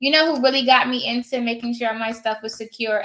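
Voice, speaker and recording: A woman talking at a very fast pace. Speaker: online notary trainer and vlogger. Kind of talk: casual livestream chat. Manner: animated.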